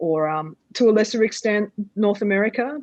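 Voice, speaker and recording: A woman with an Australian accent and lively intonation, in a dry, close sound with no echo and a quiet background. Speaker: theatre artist and dramaturg. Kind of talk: panel discussion.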